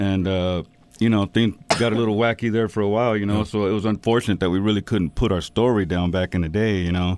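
Talking at a very fast pace, a man with an American accent has a fairly low pitch. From Texas. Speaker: rapper. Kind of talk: casual chat.

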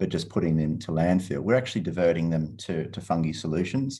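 Against a quiet background, a man with an Australian accent speaks at a moderate pace. His voice is very deep and low, with a dark, mellow tone. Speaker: environmental entrepreneur. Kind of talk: interview.

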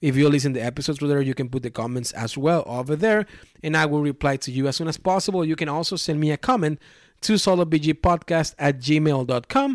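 Speaking very fast with a Mexican accent, a man with a fairly high voice uses ordinary pitch variation on a very clean, dry and close recording with a silent background and no echo. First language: Spanish. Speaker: board game podcast host. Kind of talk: solo podcast monologue. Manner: halting, many fillers and restarts.

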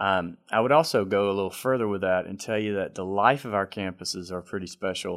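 With a Southern US accent, a man speaks with a fairly low pitch and ordinary pitch variation at a fairly quick pace, with hardly any pauses. The recording is very clean, with a silent background. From South Carolina, Greenville. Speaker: CEO of senior living ministry. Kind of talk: interview.

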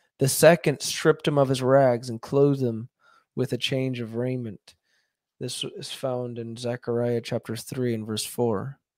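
With a plain, everyday voice, a man speaks at a medium pitch and a fairly slow pace, his intonation fairly even but his loudness swinging widely. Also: very clean recording, silent background. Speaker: YouTube podcast host reading aloud. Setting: live stream with viewers commenting. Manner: measured, earnest, reverent reading; unhurried, slightly conversational.

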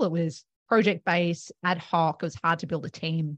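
Talking at a fairly quick pace with an Australian accent, a woman of fairly low pitch sounds dry and close with no echo against a quiet background. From Australia, Melbourne. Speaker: accounting firm co-founder. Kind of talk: interview.

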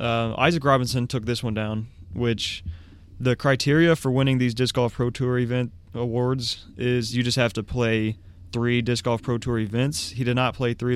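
In an ordinary speaking voice, a man with an American accent talks at a moderate pace, medium pitch, and fairly even intonation. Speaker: disc golf podcast co-host. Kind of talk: casual chat. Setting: studio.

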